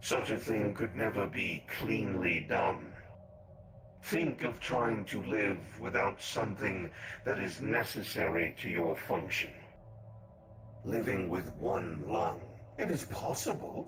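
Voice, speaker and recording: In a put-on character voice, a man speaks with a very deep, low pitch and lively intonation at a fairly slow pace, leaving long, frequent pauses over clear background noise. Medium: actual play. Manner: measured, cryptic.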